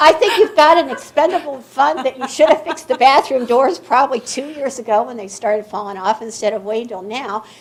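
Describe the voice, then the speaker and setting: Speaking at a fairly quick pace with hardly any pauses, a woman has a high pitch, lively intonation and an animated tone. Her loudness swings widely, and background noise is noticeable. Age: 70s. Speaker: local citizen speaking at public comment. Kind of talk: public comment at a meeting.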